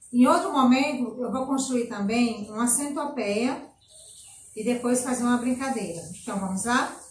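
A woman speaks at a fairly slow pace with a high pitch and ordinary pitch variation, and the room echo is audible. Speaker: nursery teacher. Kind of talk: tutorial. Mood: warm, gentle. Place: home room. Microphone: camera far.

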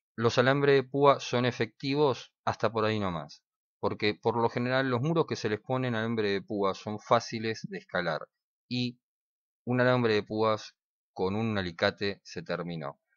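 At a fairly slow pace, a man speaks at a medium pitch with ordinary pitch variation in an unremarkable speaking voice. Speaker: survival/prepper YouTuber. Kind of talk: tutorial. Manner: casual, conversational.

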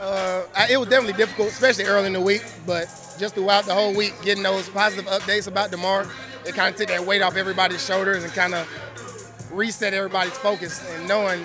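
Over clear background music, a man speaks very fast in a raised, projected voice, the sound dry with no echo. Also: fairly even intonation. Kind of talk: interview answer.

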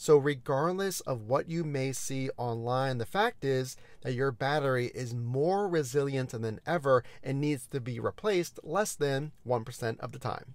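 A man at a fairly slow pace, with ordinary pitch variation and a dry sound with no echo. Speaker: car review host. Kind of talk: informational commentary. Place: car. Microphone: lapel.

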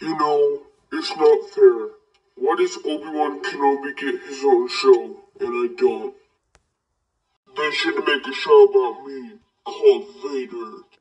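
A man talks in a cartoonish character voice at a fairly slow pace, with long, frequent pauses. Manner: grumbling, petulant.

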